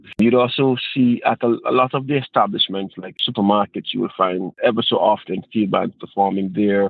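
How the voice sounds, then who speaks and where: A man with an Antiguan accent at a medium pitch, with hardly any pauses. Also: ordinary pitch variation, moderate pace. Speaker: steel pan musician and teacher. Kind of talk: interview.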